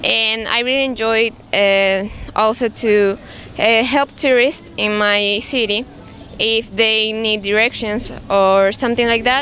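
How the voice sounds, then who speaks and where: A woman's fairly high voice with a Spanish accent, fairly slow and fairly even in intonation, very even in loudness, over noticeable background noise. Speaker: English language student. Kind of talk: class presentation. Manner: halting, many restarts.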